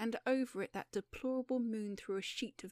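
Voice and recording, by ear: A passage is being read aloud in a natural voice.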